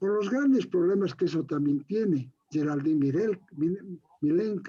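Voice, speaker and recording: With a dark, mellow tone and a high pitch, a man speaks fairly slowly with lively intonation and very even loudness. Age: 70s. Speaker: university lecturer and researcher. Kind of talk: interview. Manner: animated, vehement.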